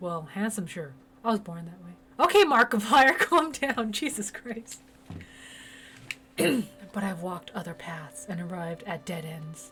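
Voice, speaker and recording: Woman's medium-pitched voice at a fairly slow pace, with very wide pitch swings, big swings in loudness and long, frequent pauses. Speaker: game streamer. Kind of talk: gameplay commentary reading game dialogue aloud. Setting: live stream. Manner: animated; voice cracks when loud.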